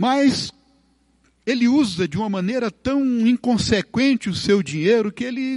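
The pace is fairly slow and the pitch varies in an ordinary way. The sound is dry and close, with no echo. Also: man. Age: 60s. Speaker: preacher. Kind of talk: Q&A answers; sermon.

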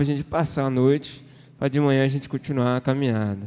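This man's voice has a dark, mellow tone and a fairly high pitch. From Brazil, Greater São Paulo (Osasco). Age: 20s. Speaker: former homeless man, recovery ministry member. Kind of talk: testimony. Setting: church service.

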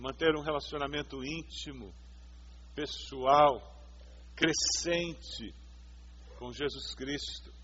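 A man at a very slow pace, with long, frequent pauses and audible room echo. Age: 50s. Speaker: pastor. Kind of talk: sermon.

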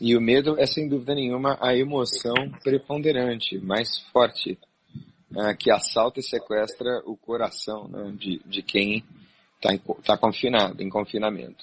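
A man with an ordinary speaking voice and medium pitch talks at a fairly slow pace. His pitch variation is ordinary, and the sound is dry and close with no echo. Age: 40s. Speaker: Baptist pastor and psychologist. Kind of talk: interview on a live stream.

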